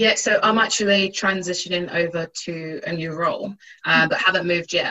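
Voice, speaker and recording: A woman's unremarkable speaking voice at medium pitch, with fairly even intonation and a moderate pace. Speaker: technology audit graduate. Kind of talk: webinar panel talk.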